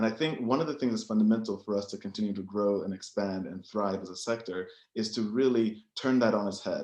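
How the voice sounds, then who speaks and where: A man with an American accent and a normal speaking voice talks at a fairly low pitch and a fairly quick pace, with ordinary pitch variation and hardly any pauses. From United States. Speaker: biotech entrepreneur and investor. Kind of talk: panel presentation.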